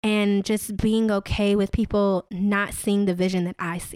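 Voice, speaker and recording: In a very clean recording with a silent background and a dry, close sound with no echo, a woman speaks in a normal speaking voice at a fairly high pitch, keeping a fairly slow pace and fairly even intonation. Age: 30s. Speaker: wine company founder. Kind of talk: interview.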